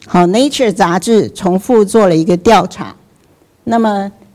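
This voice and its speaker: The voice belongs to a woman. Its tone is dark and mellow. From Taiwan, Taipei. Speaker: scientist and professor speaking at a church event. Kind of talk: faith and science lecture.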